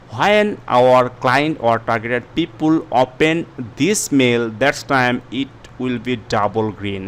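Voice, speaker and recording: A man with a non-native accent talks at a fairly slow pace with ordinary pitch variation. There is noticeable background noise. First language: not English. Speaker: YouTube tutorial creator. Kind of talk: tutorial. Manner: halting, many fillers.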